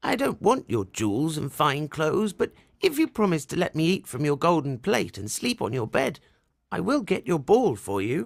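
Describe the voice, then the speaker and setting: A put-on character voice with very wide pitch swings at a moderate pace, in a very clean recording with a silent background. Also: man, fairly high pitch for a man. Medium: read story.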